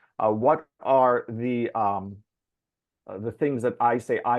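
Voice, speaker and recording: Speaking at a fairly slow pace, a man with a Mid-Atlantic accent keeps his intonation fairly even. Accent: American, Mid-Atlantic. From US, Baltimore, Maryland. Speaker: Franciscan friar, justice and peace worker. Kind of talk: recorded talk. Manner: frequent filler words (uh, um).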